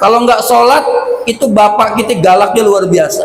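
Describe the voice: A man talks at a moderate pace with a high pitch. Audible room echo surrounds his voice. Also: ordinary pitch variation.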